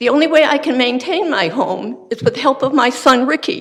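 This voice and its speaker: At a moderate pace, a woman speaks in a high pitch. Her intonation is lively. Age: 80s+. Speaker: resident speaking at public hearing. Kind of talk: public comment. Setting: public meeting.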